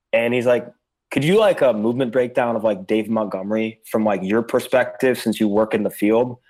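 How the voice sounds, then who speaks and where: A man speaks at a moderate pace in a medium pitch, with a normal speaking voice. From Chicago area, US Midwest. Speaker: fantasy football analyst. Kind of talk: casual chat.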